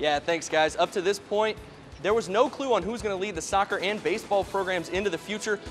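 Music in the background behind a man with an upbeat, energetic tone, high pitch, ordinary pitch variation and a fairly quick pace. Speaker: sports reporter and anchor. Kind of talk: live shot stand up.

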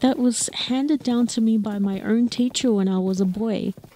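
Against noticeable background noise, a woman talks at a moderate pace in a fairly high pitch with a warm, gentle tone. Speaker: storyteller and horseback tour guide. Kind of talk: storytelling in a fantasy world, casual riding chat mixed with dramatic narration. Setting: outdoors on horseback. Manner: warm, gentle, wistful.

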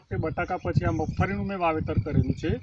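A man speaks with very wide pitch swings. Noticeable background noise runs underneath. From Gujarat, India (Sabarkantha district). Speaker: farmer. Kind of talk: testimony.

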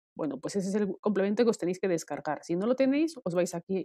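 Fairly quick speech from a woman, dark and mellow in tone, with lively intonation and a dry, close sound free of echo. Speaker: Excel tutorial creator. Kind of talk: screen-share software tutorial.

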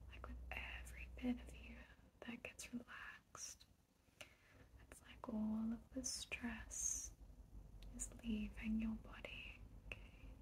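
A woman's soothing, calm voice at a very slow pace, with long, frequent pauses and light background noise. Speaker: ASMR creator / relaxation guide. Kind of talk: guided relaxation ASMR. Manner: soothing, calm, slow. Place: home room.

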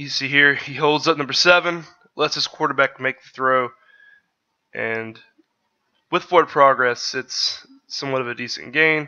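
Pitched fairly high, a man speaks at a moderate pace with big swings in loudness and long, frequent pauses. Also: fairly even intonation. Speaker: sports podcaster, draft analyst. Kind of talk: solo video commentary breaking down game footage. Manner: casual, somewhat halting with fillers and repeats.

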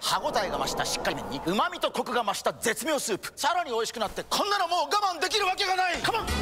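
An extremely high-pitched man's voice, very fast and energetic, with very wide pitch swings over crowd noise in the background. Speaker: actor in a TV commercial. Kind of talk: TV commercial read. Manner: energetic, emphatic, expressive.

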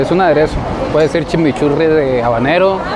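Crowd noise fills the background as a man talks at a moderate pace with ordinary pitch variation, his sound dry with no echo. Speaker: travel vlogger. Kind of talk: casual vlog chat. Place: street. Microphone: lapel.

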